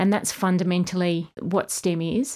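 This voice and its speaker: A woman with an Australian accent at a moderate pace, fairly low in pitch, monotone and flat, on a very clean recording with a silent background. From Australia, East Kimberley (Western Australia). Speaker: program director. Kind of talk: interview.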